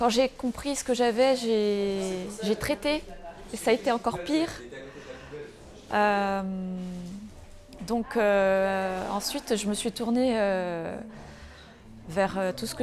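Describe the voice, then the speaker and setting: A woman's voice at a very slow pace, with long, frequent pauses and ordinary pitch variation. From Aveyron, France. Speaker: retreat participant. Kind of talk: interview testimony.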